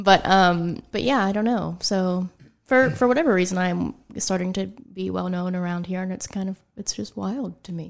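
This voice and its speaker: On a very clean recording with a silent background, a woman with an unremarkable speaking voice and an American accent talks at a moderate pace, her medium pitch showing ordinary variation. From western Pennsylvania. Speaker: boudoir photographer. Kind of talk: casual interview. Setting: studio.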